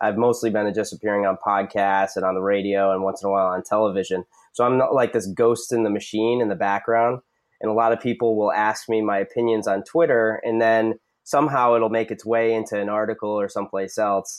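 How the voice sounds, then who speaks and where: Against a quiet background, this is a normal speaking voice with fairly even intonation. The pace is fairly quick. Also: man, fairly low pitch for a man. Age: 30s. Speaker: hockey writer and goalie coach. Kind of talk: interview.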